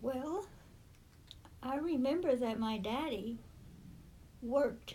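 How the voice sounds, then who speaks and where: A woman with an American accent speaks at a very slow pace in a high pitch with ordinary pitch variation and a dark, mellow tone. Audible room echo surrounds her voice. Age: 80s+. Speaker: great-grandmother interviewee. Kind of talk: oral history interview. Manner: halting.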